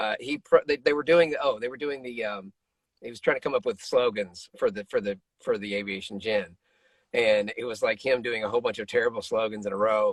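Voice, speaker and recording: In a dry, close sound with no echo, a man speaks at a fairly quick pace in an unremarkable speaking voice. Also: medium pitch for a man, ordinary pitch variation. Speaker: voice actor. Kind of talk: interview answer. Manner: casual, joking.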